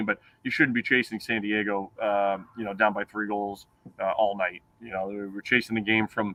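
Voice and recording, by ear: In a New England accent, a man speaks fairly quickly with a fairly low pitch and monotone, flat intonation.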